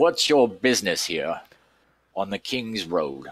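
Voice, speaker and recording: A man puts on a character voice at medium pitch. The recording is very clean, with a silent background. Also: fairly slow pace. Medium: actual play.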